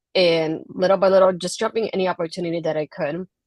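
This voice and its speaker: Quiet and fairly quick, a woman with a Puerto Rican accent speaks with monotone, flat intonation, the sound dry and close with no echo. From Puerto Rico. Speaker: wrestling blogger and podcaster. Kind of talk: interview.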